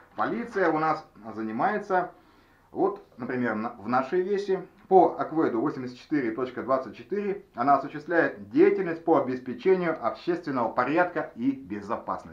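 He has an unremarkable speaking voice, pitched fairly high for a man. The pace is fairly slow, and the intonation is lively. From Russian Far East, Nikolayevsk-on-Amur. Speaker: video blogger. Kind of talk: tutorial.

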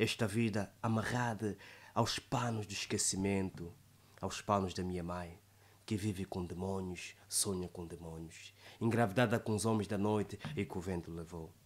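A man talks in a fairly low voice at a moderate pace. His intonation stays fairly even. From Angola. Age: 20s. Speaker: poet and declaimer. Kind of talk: poetry reading. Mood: dramatic, sorrowful recitation. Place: studio. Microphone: studio mic.

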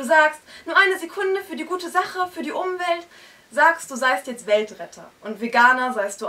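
A woman talks at a moderate pace with very wide pitch swings. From northern Germany, Hamburg area; northern Germany. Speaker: slam poet. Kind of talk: poetry slam performance. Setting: stage with audience in a bookshop. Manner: rhythmic. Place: shop.

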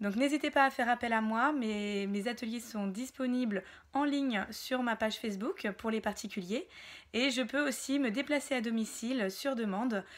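High-pitched and moving at a moderate pace, a woman speaks with ordinary pitch variation. The background is quiet. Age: 30s. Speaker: wellness practitioner and entrepreneur; wellness workshop host. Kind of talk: self-presentation to camera. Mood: warm, smiling, friendly. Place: home room. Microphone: phone near.

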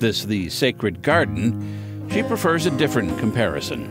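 Music plays behind a man with a fairly low pitch. His pitch swings very widely. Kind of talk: TV news feature narration.

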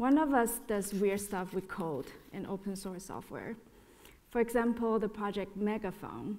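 Using a plain, everyday voice, a woman talks at a moderate pace with medium pitch and ordinary pitch variation. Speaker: artist and educator. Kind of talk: panel presentation. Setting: stage with audience. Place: hall.

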